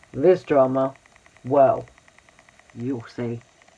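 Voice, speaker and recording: Quiet speech at a very slow pace, with noticeable background noise. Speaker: YouTube drama commentator. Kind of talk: casual commentary vlog.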